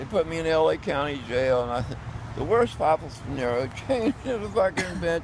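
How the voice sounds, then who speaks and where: A man's fairly high, fairly quick voice with very wide pitch swings, over noticeable background noise. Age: 70s. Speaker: homeless street performer. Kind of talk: casual chat. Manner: animated; halting.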